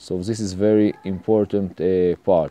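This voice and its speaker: The dry, close sound with no echo captures a man with an Israeli accent, a fairly low pitch and a dark, mellow tone. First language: Hebrew. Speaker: home mechanic tutorial maker. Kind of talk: tutorial. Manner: halting, many fillers.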